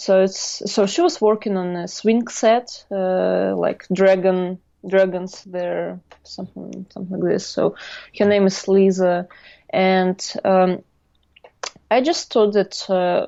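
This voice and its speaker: A woman with a Russian accent, talking at a very slow pace. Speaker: artist. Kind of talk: interview storytelling. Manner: halting.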